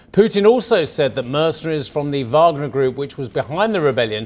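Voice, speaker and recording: The voice belongs to a man with an ordinary speaking voice. Pitched fairly high, it carries lively intonation. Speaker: business news anchor. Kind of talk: news broadcast. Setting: studio.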